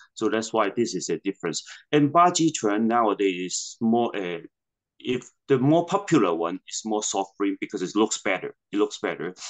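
Over a quiet background, a man with a Hong Kong accent talks at a moderate pace with lively intonation. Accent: Hong Kong Cantonese-accented English. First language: Cantonese. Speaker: martial arts master and Buddhist priest. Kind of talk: interview. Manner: halting, repetitive phrasing. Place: home room. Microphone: video call.

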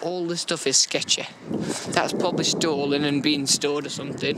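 A man speaks at a moderate pace, with noticeable background noise behind him. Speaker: urban explorer vlogger. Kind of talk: casual vlog chat. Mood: wary, slightly nervous. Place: street. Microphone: phone near.

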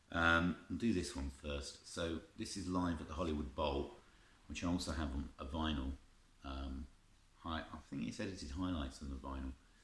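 In a room with audible echo, a man with a very deep, low pitch and vocal fry talks at a moderate pace. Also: ordinary pitch variation. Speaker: collector reviewing music tapes. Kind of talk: casual vlog chat. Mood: nostalgic, enthusiastic. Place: home room.

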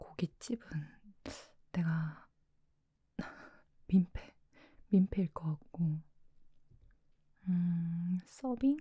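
A somewhat breathy, dark and mellow voice with ordinary pitch variation, a very slow pace, and long, frequent pauses. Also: woman, fairly low pitch for a woman. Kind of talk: role-play video-call ASMR talking to a friend. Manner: casual, chatty, friendly.

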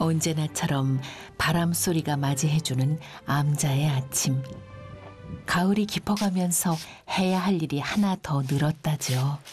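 A woman's very deep, low voice at a very slow pace, calm and very even in loudness, with ordinary pitch variation, long, frequent pauses and music in the background. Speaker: documentary narrator. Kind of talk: documentary narration. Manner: calm, reflective.

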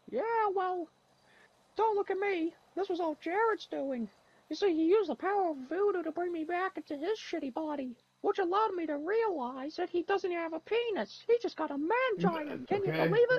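The speaker uses a put-on character voice at extremely high pitch. The pace is fairly quick. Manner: aggressive, bullying.

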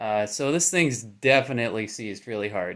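The background stays quiet. A man talks at a moderate pace, his pitch varying in an ordinary way. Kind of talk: tutorial. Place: garage. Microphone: phone near.

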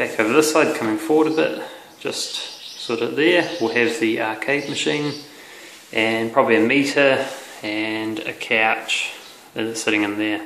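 In a room with audible echo and light background noise, a man speaks at a fairly slow pace with ordinary pitch variation. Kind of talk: casual vlog chat. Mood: upbeat, relaxed. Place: empty room. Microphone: phone near.

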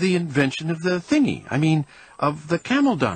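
A squeaky, put-on character voice at a moderate pace. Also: man, fairly high pitch for a man.

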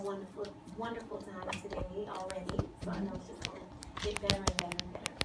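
A woman speaks at a very fast pace. Loud background noise fills the clip. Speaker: hip hop emcee. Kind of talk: radio interview answer. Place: studio. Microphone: phone near.

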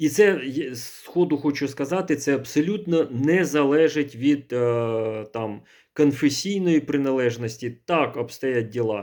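In a very clean recording with a silent background, a man talks at a fairly slow pace in a fairly high voice with ordinary pitch variation. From central Ukraine. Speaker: priest. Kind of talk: video monologue. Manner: halting.

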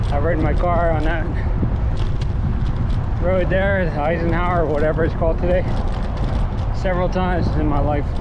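The pace is moderate. Loud background noise runs behind the voice. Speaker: cyclist vlogger. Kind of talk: casual vlog chat. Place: bicycle. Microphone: phone near.

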